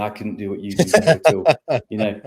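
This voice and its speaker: A man talks with an English accent and ordinary pitch variation. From England. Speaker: business consultant. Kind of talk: podcast interview.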